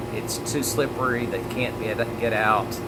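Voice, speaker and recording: A man with an American accent, medium pitch and monotone, flat intonation, over noticeable background noise. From Mississippi, USA. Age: 50s. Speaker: motivational speaker and direct-sales marketer. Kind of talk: motivational talk to camera. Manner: earnest, conversational storytelling.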